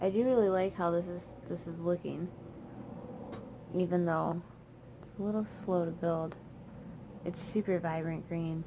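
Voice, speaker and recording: A woman mumbles at a moderate pace with a dark, mellow tone and a fairly low pitch. Her intonation is fairly even, with long, frequent pauses and big swings in loudness. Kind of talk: casual talk to camera while doing makeup. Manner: mumbling, chill, rambling.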